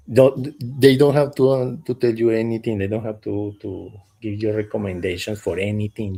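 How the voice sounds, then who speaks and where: In a very clean recording with a silent background, a man with a non-native accent talks at a fairly slow pace, his fairly low voice somewhat breathy with a dark, mellow tone. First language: not English. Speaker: startup founder. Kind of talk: casual panel chat. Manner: halting, with repetitions.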